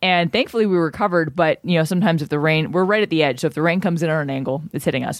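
Pitched fairly low, a woman talks very fast with hardly any pauses and ordinary pitch variation. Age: 30s. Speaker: sports podcast co-host. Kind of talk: casual sports chat.

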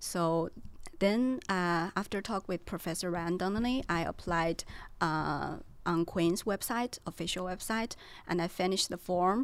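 The recording is very clean, with a silent background. A woman talks at medium pitch with ordinary pitch variation. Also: fairly slow pace. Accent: Chinese. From China. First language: Chinese. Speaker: PhD student. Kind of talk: casual chat.

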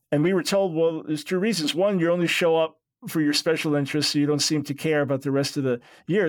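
Speaking at a fairly quick pace with an American accent, a man with a fairly high pitch and ordinary pitch variation has a plain, everyday voice on a very clean recording with a silent background. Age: 60s. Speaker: radio host and theologian. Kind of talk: interview.

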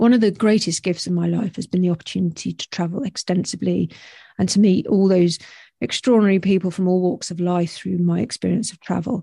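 A woman with a British accent speaks very fast at a medium pitch, somewhat breathy and with a dark, mellow tone, her pitch varying in an ordinary way and her loudness swinging widely. The sound is dry and close with no echo, with a quiet background. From UK. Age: 50s. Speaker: podcast host. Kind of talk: solo reflective monologue. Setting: home recording with headphones and microphone.

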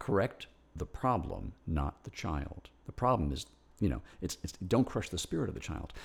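A man with a very deep, low voice and vocal fry speaks at a moderate pace. His pitch swings very widely. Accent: American. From New York. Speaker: composer. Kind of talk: interview conversation. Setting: at his home. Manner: halting, many repetitions.

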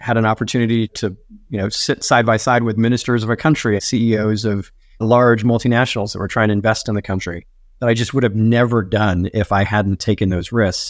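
In a very clean recording with a silent background, a man talks at a fairly quick pace in a monotone, flat intonation. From South Africa. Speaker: marketing executive. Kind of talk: interview.

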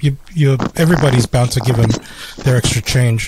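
Speaking at a moderate pace, a man uses a dark, mellow tone that is somewhat breathy, with fairly even intonation. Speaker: podcast co-host. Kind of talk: casual chat.

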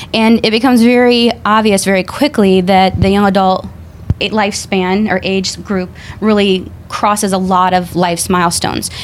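The voice keeps fairly even intonation and very even loudness over noticeable background noise. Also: woman, medium pitch for a woman, moderate pace. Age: young. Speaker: audiologist. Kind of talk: panel discussion. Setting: studio.

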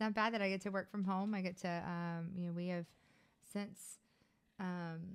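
In a Louisiana accent, a woman speaks at a moderate pace and medium pitch with monotone, flat intonation. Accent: Louisiana Southern US. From Louisiana, US South. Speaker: podcast co-host, business manager. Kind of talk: casual chat. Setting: studio, on camera.

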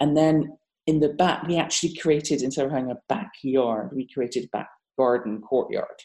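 In a British accent, a woman speaks at a moderate pace with a very deep, low pitch. Her tone is dark and mellow, with ordinary pitch variation. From Britain. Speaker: architect. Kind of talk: casual interview conversation.

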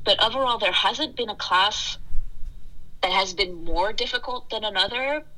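A woman talks at a fairly quick pace while noticeable background noise sounds behind her. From France. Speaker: dental hygiene student. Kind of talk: casual interview chat.

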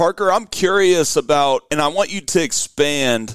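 Recorded dry and close with no echo, a man with an American accent and a normal speaking voice talks at a fairly slow pace with ordinary pitch variation. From Oklahoma. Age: 20s. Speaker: golf podcast host. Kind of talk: casual chat.

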